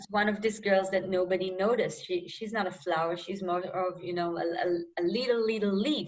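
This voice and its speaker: A woman with an Israeli accent speaks at a medium pitch and moderate pace with hardly any pauses, fairly even intonation, and big swings in loudness. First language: Hebrew. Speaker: novelist. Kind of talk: interview. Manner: halting.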